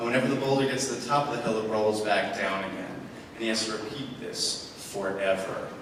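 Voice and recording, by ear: In a room with audible echo, a man talks at a fairly quick pace with fairly low pitch and little pitch movement.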